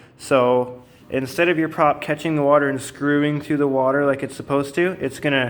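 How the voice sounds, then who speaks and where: Over noticeable background noise, a man with an Ontario accent speaks at a fairly high pitch. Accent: Canadian English (Ontario). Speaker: outboard motor mechanic. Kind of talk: tutorial. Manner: halting, many fillers; unscripted, conversational.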